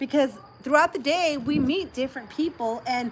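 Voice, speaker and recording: Over noticeable background noise, a woman speaks in a high voice with an animated tone and ordinary pitch variation. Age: 30s. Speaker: livestream host. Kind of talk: casual chat.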